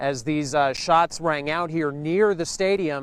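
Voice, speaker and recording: Fairly even intonation runs through this man's plain, everyday voice, which sits fairly high in pitch. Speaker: television news reporter. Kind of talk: TV news reporter package.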